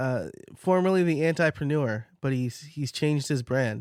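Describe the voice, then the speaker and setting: Speaking at a moderate pace with a slight New York accent, a man's fairly high voice carries lively intonation in a dry, close sound with no echo, on a very clean recording with a silent background. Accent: slight New York accent, shows on some words. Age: 30s. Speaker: podcast coach and host. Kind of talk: casual solo podcast Q&A. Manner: conversational with fillers.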